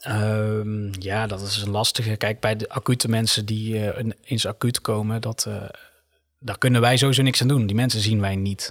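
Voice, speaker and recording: In a very clean recording with a silent background, a man speaks in a flat monotone, and the sound is dry and close with no echo. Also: moderate pace. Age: 20s. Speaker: nurse. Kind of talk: casual chat.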